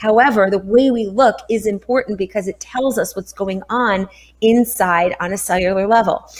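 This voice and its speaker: At a moderate pace, a woman talks in an upbeat, energetic tone. Her voice is fairly high, with ordinary pitch variation. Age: 50s. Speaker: health coach. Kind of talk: interview answer.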